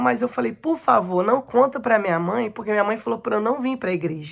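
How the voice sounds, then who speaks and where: A woman with a fairly high voice and vocal fry speaks at a fairly quick pace with ordinary pitch variation. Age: 30s. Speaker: abuse survivor giving testimony. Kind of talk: testimony.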